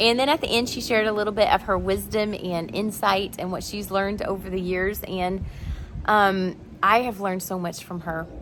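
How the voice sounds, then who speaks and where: A woman speaks at a moderate pace and a medium pitch. Hers is a plain, everyday voice with fairly even intonation. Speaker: family interviewer. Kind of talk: introduction to camera.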